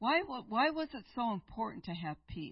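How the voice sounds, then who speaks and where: A somewhat breathy woman's voice, fairly high in pitch, at a fairly slow pace. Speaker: guest preacher. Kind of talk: sermon. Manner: unhurried.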